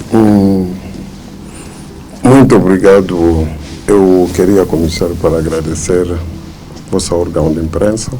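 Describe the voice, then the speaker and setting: A man with a non-native accent speaks very slowly, his pitch very deep and low with fairly even intonation. The room echo is audible and background noise is noticeable. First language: not Portuguese (speaking Portuguese). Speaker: church leader. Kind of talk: press interview. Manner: halting, with fillers.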